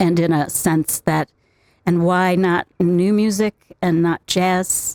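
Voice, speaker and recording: A woman with an American accent speaks at a very slow pace. Her fairly low pitch stays monotone and flat. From US Midwest, Chicago suburbs. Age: 70s. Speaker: tap dancer and educator. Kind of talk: interview. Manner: halting, many fillers.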